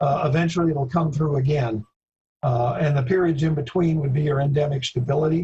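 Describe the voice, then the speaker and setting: Quick-ish and somewhat breathy, a man with a fairly high pitch uses a dark, mellow tone and fairly even intonation at a fairly quick pace. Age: 70s. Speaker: veterinary epidemiology expert. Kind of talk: Q&A discussion. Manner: halting.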